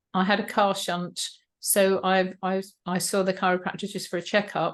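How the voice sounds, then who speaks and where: Over a quiet background, a woman with an English accent speaks at a moderate pace in a medium-pitched, monotone, flat voice. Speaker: health mentor. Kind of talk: interview.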